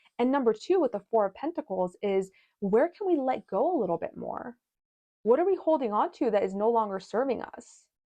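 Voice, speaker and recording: A woman at a fairly quick pace, her pitch swinging very widely. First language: not English. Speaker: tarot and astrology reader. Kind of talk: tarot reading monologue. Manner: halting, many restarts and fillers; casual.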